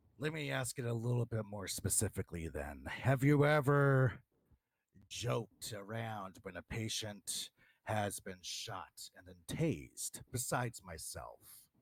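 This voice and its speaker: A man's put-on character voice, medium in pitch, with lively intonation, a moderate pace, big swings in loudness and a dry, close sound with no echo. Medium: game stream. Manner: insistent, argumentative.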